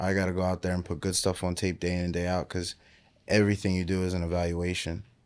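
A man's very deep, low voice in an American accent, monotone and flat, at a very fast pace, on a very clean recording with a silent background. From Pennsylvania, Willow Grove. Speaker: professional football player. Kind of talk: interview.

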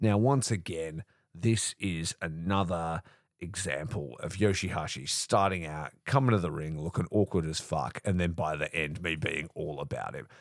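In a very clean recording with a silent background, a man with an Australian accent talks in a very deep, low voice. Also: ordinary pitch variation, moderate pace, dry, close sound with no echo. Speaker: wrestling podcast host. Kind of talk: casual solo recap. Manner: animated.

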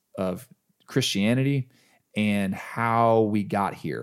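Recorded very cleanly against a silent background, a man speaks at a medium pitch in a normal speaking voice. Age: 40s. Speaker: musician. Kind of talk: casual chat. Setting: dining room at home.

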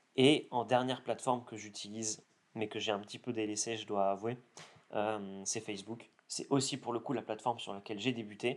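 Monotone, flat intonation marks this man's speech. He talks fairly quickly at a medium pitch. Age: 20s. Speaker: content creator. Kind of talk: interview. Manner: hesitant with fillers.

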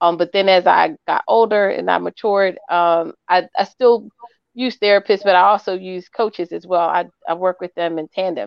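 A woman speaks at a medium pitch with ordinary pitch variation. Hers is an ordinary speaking voice. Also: moderate pace. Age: 40s. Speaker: life coach. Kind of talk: casual chat.

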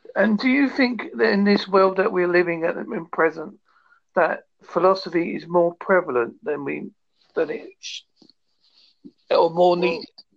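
In a British accent, the speaker moves at a fairly slow pace with long, frequent pauses. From United Kingdom. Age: 50s. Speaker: podcast interviewer.

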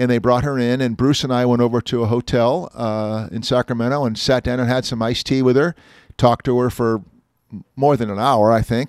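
This is an ordinary speaking voice, a man at medium pitch with fairly even intonation and a fairly quick pace. The recording is very clean with a silent background, and the sound is dry and close with no echo. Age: 60s. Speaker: automotive columnist and podcast host. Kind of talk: casual chat.

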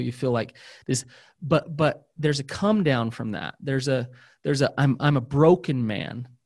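Recorded very cleanly against a silent background, a man with fairly high pitch has a normal speaking voice and ordinary pitch variation. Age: 40s. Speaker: therapist. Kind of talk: casual chat.

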